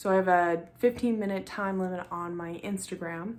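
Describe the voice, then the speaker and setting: Her intonation fairly even, a woman talks in a medium pitch. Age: 20s. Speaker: vlogger. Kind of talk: casual chat. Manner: mellow, calm.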